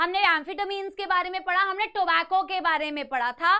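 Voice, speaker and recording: A woman speaks in a raised, projected voice with an energetic, bright and sharp tone, extremely high pitch, ordinary pitch variation and a moderate pace. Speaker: online biology teacher. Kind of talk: online lecture.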